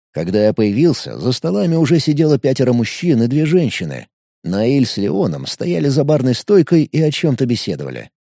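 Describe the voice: The background stays quiet. Plain reading aloud comes with lively intonation.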